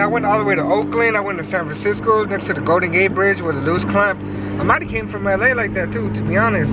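A man at a very fast pace, his dry sound with no echo set against loud background noise. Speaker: car vlogger. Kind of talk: casual vlog chat. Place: car. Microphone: phone near.

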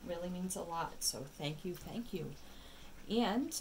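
A woman talks over light background noise. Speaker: tarot reader. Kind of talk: casual reading chat. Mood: warm, grateful. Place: home room.

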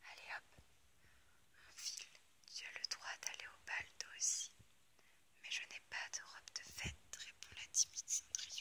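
A woman whispers at a fairly slow pace, leaving long, frequent pauses. Her loudness swings widely from moment to moment. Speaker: ASMR creator. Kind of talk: storybook reading. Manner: whispered, soft-spoken. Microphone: phone near.

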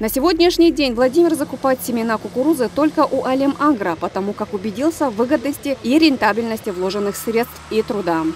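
Speaking at a fairly quick pace with hardly any pauses, a woman uses a high pitch and lively intonation against noticeable background noise. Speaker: TV news reporter. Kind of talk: scripted news voiceover. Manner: formal.

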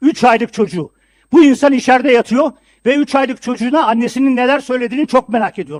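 At a very fast pace, the voice comes through with a dry, close sound and no echo. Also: man. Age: 70s. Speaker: city council member. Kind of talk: council meeting speech. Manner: formal.

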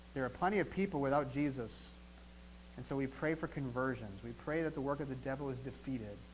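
Over light background noise, a man with a fairly high pitch talks at a fairly quick pace with ordinary pitch variation. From US Midwest, southeastern Wisconsin. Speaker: pastor. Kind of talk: sermon. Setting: church. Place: church.

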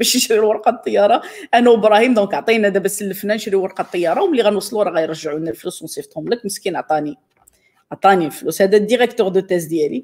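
The speech comes at a very fast pace against a quiet background. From Morocco. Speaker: scientist and storyteller; storyteller. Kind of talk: storytelling. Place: home room.

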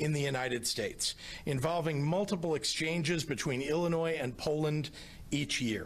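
Male speech, moderate in tempo and ordinary in pitch variation. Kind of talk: formal prepared statement. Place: hall. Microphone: podium.

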